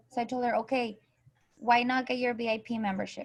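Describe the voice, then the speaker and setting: Speaking in a Spanish accent, a woman talks at a high pitch. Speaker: direct sales coach. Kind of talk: online group training call.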